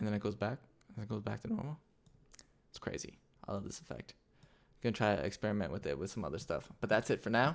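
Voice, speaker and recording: Talking at a very fast pace, a man sounds animated, with lively intonation, vocal fry and big swings in loudness. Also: fairly low pitch for a man. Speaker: motion graphics tutorial creator. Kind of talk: tutorial. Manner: casual, animated.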